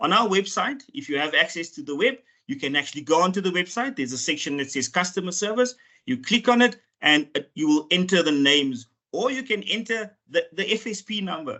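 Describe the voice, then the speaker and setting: Fairly quick speech from a man with a non-native accent, high in pitch with very wide pitch swings. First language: not English. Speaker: financial regulator official. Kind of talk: webinar presentation. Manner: halting, with repeated words and fillers.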